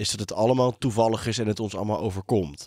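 This man has a dark, mellow tone and ordinary pitch variation. The recording is very clean, the background silent. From South Africa and Brabant. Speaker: podcast host. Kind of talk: casual interview conversation. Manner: halting.

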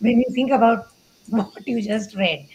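Noticeable background noise sits behind a woman's voice. She speaks at a fairly high pitch with fairly even intonation. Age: 30s. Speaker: online content creator. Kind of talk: casual chat. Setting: live-streamed video call. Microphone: video call.

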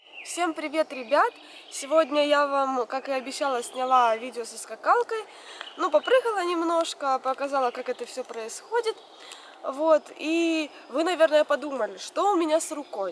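A woman's high pitch and lively intonation at a moderate pace, with big swings in loudness, a dry sound with no echo, and light background noise. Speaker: vlogger. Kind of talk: casual vlog chat. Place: forest.

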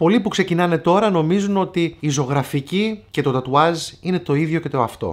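Against a quiet background, a man with a high-pitched voice talks at a moderate pace with ordinary pitch variation. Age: 40s. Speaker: tattoo artist and YouTuber; YouTuber. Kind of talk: casual vlog advice talk. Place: shop.

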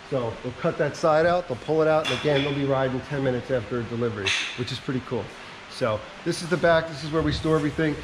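The pace is very fast. Noticeable background noise runs underneath. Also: man. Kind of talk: walking tour commentary. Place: factory. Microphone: phone near.

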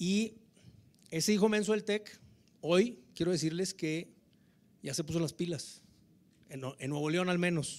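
A man speaks in a northern Mexican accent with a high pitch. His pace is fairly slow, broken by long, frequent pauses. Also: ordinary pitch variation. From Mexico. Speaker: government tourism official, politician; politician. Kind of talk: informal speech. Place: hall. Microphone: handheld.

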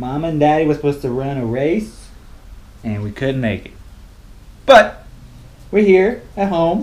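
A man talks with lively intonation. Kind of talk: casual vlog chat. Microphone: phone near.

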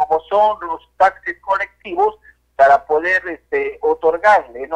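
A man with a high pitch at a fairly slow pace. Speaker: congressman. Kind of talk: phone interview. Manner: halting.

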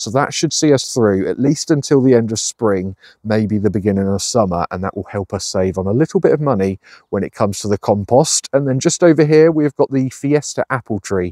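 Against a quiet background, a man with a dark, mellow tone talks fairly quickly with lively intonation, in a dry sound with no echo. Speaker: allotment gardener vlogger. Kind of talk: casual vlog chat. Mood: cheerful, enthusiastic. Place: garden. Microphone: phone near.

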